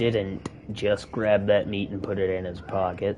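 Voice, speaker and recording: Speaking with a Southern US accent at a fairly slow pace, a man with a fairly low pitch comes through over noticeable background noise. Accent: Southern US, says 'acrost'. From US South. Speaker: gaming streamer. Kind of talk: live gameplay commentary. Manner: casual, conversational.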